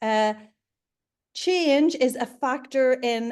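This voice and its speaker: Against a quiet background, a woman talks with a Northern Irish accent. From Northern Ireland, Belfast. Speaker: leadership consultant and coach. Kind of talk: interview.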